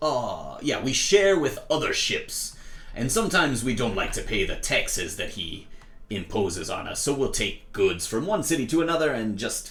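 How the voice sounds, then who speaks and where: Using a put-on character voice, a man speaks at a moderate pace in a fairly high pitch. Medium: actual play. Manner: hearty, roguish, dotted with "aye" and "lassie".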